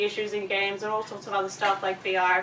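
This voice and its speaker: Over noticeable background noise, a woman with an Australian accent talks at a very fast pace. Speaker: audio designer and conference speaker. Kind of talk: presentation. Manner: casual, filler-heavy.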